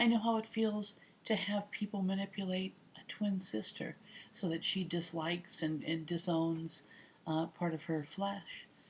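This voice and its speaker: This woman talks at a fairly slow pace with a somewhat breathy voice. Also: medium pitch for a woman, ordinary pitch variation. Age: 50s. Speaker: retired air traffic controller. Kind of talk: casual talk to camera.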